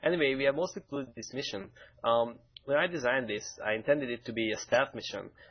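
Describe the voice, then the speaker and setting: Delivered at a very fast pace with a Hungarian accent, the speech shows ordinary pitch variation. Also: man, medium pitch for a man. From Hungary, Budapest. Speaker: game mission designer. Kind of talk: game stream commentary. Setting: live stream.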